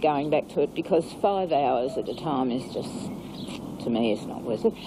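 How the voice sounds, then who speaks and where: A woman is speaking. She keeps a moderate pace. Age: 60s. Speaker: aerobics instructor. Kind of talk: interview.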